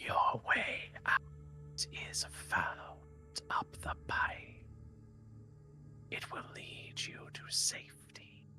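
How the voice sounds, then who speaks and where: A put-on character voice rumbles and rasps at a very slow pace. Clear music plays in the background. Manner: calm, guiding.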